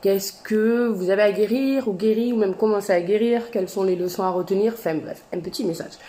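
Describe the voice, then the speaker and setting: Her pitch fairly high, a woman talks very fast. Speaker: tarot and oracle card reader. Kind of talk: astrology card reading to camera.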